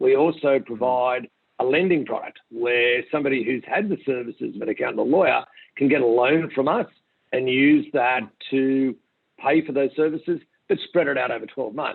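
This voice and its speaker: At a moderate pace, a man speaks at a medium pitch with an Australian accent. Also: ordinary pitch variation. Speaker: company founder and CEO. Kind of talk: interview.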